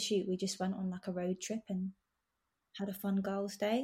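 Somewhat breathy and dark, mellow in tone, a woman speaks at a medium pitch. Her pace is fairly quick. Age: 20s. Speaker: nail artist. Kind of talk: casual interview chat.

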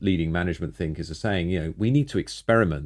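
With a British accent, the speaker talks very fast using ordinary pitch variation against a quiet background. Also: man. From Britain. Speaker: podcast host. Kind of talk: interview.

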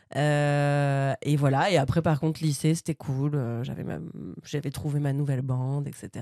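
Her pitch very deep and low, a woman speaks at a fairly slow pace in a dark, mellow tone with monotone, flat intonation. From Normandy, France (Bernay). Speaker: stand-up comedian. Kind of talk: casual chat.

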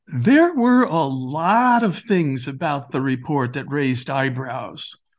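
Against a quiet background, a man with a normal speaking voice talks fairly slowly at a fairly high pitch, his intonation lively. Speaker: director, playwright and author. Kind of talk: history documentary narration, explanatory. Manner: measured, authoritative; clear, didactic storytelling.

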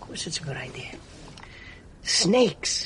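A raspy, put-on character voice speaks at a moderate pace. Background noise is clearly audible.

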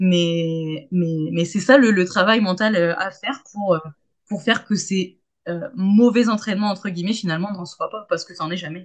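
Her loudness swings widely as a woman of medium pitch talks at a moderate pace with ordinary pitch variation. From Hauts-de-France, Saint-Quentin. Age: 30s. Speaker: pole dance teacher. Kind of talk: casual chat. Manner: hesitant, many fillers and repetitions.

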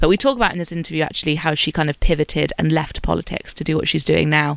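A woman speaks with a British accent. Her pitch is very deep and low, with ordinary variation. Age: 30. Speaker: podcast host. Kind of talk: scripted narration.

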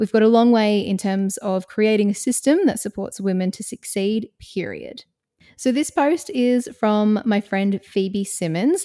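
In an Australian accent, a woman speaks at a moderate pace with a dark, mellow tone, medium pitch and ordinary pitch variation, recorded with a dry, close sound and no echo. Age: 30s. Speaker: podcast host and music presenter. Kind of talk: scripted narration; casual chat. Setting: video call.

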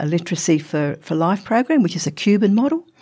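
A woman talks in an Australian accent, recorded very cleanly against a silent background. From Australia, Northern Territory. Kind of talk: interview. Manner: halting.

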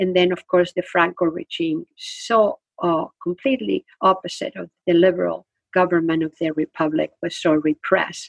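The speaker has a Spanish accent, recorded with a dry, close sound and no echo. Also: woman, moderate pace. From Spain. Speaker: retired literature professor and author. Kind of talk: interview.

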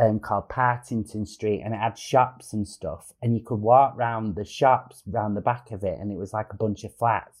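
The speaker has a Manchester accent and talks at a moderate pace. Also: man. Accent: northern English (Manchester). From Manchester area, England. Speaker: comedian. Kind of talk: casual chat. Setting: video call. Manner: animated.

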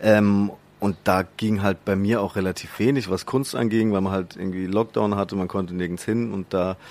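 A man with a fairly low pitch speaks at a moderate pace in an unremarkable speaking voice. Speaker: social media comedian. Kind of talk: interview. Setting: studio.

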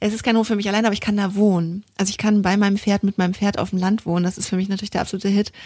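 Somewhat breathy with a dark, mellow tone, the voice runs very fast with hardly any pauses in a monotone, flat intonation. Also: woman, medium pitch for a woman, very clean recording, silent background. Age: 30s. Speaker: equestrian podcast co-host, rider. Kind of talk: casual chat.

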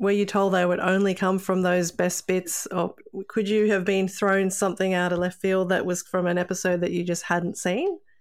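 A woman with an Australian accent speaks at a moderate pace, with hardly any pauses and very even loudness. Her medium pitch holds a monotone, flat intonation. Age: 40s. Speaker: podcast co-host. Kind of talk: casual chat.

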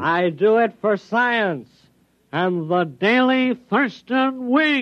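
A man puts on a nasal character voice, pitched high. He speaks at a very slow pace.

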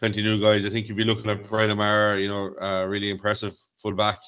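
A very fast, monotone delivery with flat intonation in an Irish accent. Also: man. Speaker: hurling pundit. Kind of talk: casual sports chat.

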